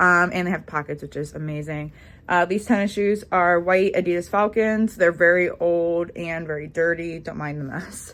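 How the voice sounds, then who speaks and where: This woman has a normal speaking voice with big swings in loudness. Her pace is moderate, and the recording is very clean with a silent background. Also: fairly low pitch for a woman, fairly even intonation. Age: 20s. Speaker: hairstylist and lifestyle vlogger. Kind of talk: casual vlog talk to camera. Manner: casual, many fillers.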